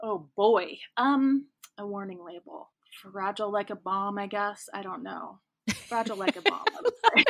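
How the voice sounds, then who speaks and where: Loudness swings widely as this speaker, in an American accent, keeps a moderate pace with ordinary pitch variation. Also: woman, medium pitch for a woman. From US Midwest, rural Kansas. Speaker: romance author. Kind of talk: casual interview chat. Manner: chatty, many fillers.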